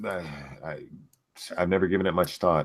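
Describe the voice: At a moderate pace, a man puts on a raspy character voice with a very deep, low pitch.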